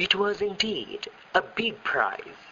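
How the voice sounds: This is a natural reading voice. It reads the text as is.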